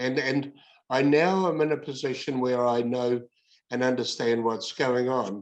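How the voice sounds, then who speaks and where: Speaking at a fairly slow pace, a man with a New Zealand accent uses ordinary pitch variation. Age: 70s. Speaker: workplace bullying advocate. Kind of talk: interview. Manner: halting.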